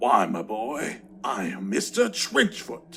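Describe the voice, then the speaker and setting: A man does a put-on character voice with a raspy texture and a medium pitch. He speaks at a fairly slow pace over faint background music. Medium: read story. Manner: friendly, inviting, old-fashioned phrasing.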